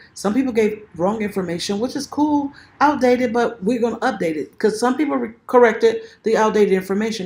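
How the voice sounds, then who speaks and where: This woman's voice is somewhat breathy and fairly high. She speaks at a fairly quick pace with lively intonation. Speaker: self-published author and video creator. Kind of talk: tutorial. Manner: fast; casual, conversational.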